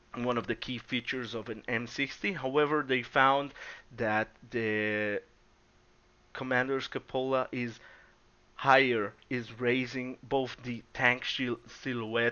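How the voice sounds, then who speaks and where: A man's medium-pitched voice with a non-native accent, fairly slow and monotone, broken by long, frequent pauses. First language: not English. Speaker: gaming YouTuber. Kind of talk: gameplay commentary. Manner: halting.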